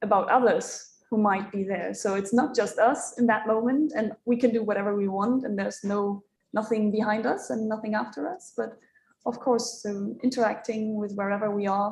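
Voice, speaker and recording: At a moderate pace, a woman with a non-native accent talks in a fairly high pitch that is somewhat breathy and shows ordinary pitch variation. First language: not English. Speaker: moderator; tourist guide. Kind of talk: panel discussion. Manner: halting.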